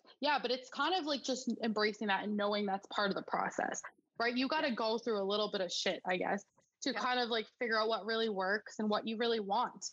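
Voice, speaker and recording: An ordinary speaking voice from a woman with a Canadian accent, fairly high in pitch, at a fairly quick pace with ordinary pitch variation and very even loudness. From Alberta, Canada. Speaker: small business owner. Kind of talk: interview.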